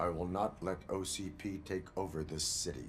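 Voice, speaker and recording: A man puts on a character voice pitched very deep and low, moving at a moderate pace. Clear background noise can be heard. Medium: video game. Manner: flat, formal, measured.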